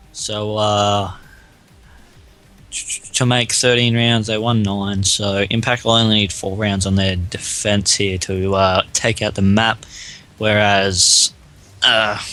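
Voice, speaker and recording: Over music in the background, a man speaks at a very slow pace and a fairly low pitch, monotone and flat, with long, frequent pauses. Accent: Australian. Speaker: esports shoutcaster. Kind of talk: live esports shoutcast commentary.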